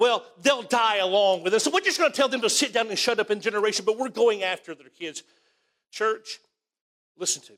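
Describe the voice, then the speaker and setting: In an Alabama accent, a man talks at a fairly quick pace and a high pitch. His pitch variation is ordinary, and his loudness swings widely. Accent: Southern US (Alabama). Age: 50s. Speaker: pastor. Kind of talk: sermon. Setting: church.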